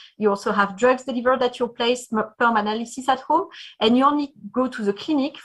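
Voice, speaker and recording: A woman speaks in a French accent, high in pitch. Her pace is fairly quick, and her pitch varies an ordinary amount. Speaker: startup founder and CEO. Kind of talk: pitch presentation. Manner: halting.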